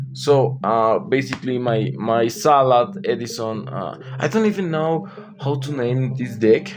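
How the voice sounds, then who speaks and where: A man at medium pitch, fairly slow and with lively intonation, over music in the background. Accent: non-native. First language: not English. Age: 20s. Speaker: card game player / YouTuber. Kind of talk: casual deck walkthrough. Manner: halting, hesitant.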